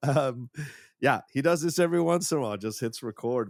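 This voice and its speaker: This man's speech moves along fairly quickly. The audio is very clean, and the background is silent. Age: 50s. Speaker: podcast co-host. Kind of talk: casual chat.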